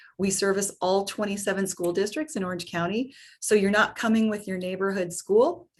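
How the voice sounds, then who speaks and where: A normal speaking voice from a woman at medium pitch, fairly quick in pace, with ordinary pitch variation. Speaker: program administrator presenting to parents. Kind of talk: webinar presentation.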